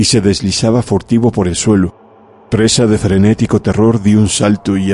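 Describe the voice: Someone reads aloud plainly, with fairly even intonation.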